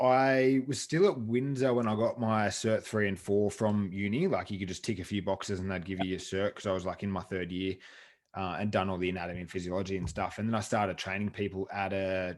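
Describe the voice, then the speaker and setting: Fairly low male voice with a western Sydney accent, fairly quick pace and ordinary pitch variation, on a very clean recording with a silent background. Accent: western Sydney Australian. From western Sydney, Australia. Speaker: fitness coach and gym owner. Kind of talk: interview. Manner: casual.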